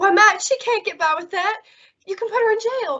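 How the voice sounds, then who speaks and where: A squeaky, put-on character voice from a woman, extremely high in pitch, with ordinary pitch variation at a moderate pace. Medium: audio drama. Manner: frank, warm, quick.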